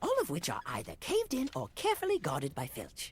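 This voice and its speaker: Someone rattles along at a very fast pace in a put-on character voice. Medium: audio drama. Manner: bubbly, enthusiastic.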